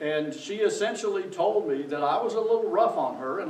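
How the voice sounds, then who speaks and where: With audible room echo and noticeable background noise, a man talks at a moderate pace, his pitch swinging very widely. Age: 60s. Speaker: pastor. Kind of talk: sermon.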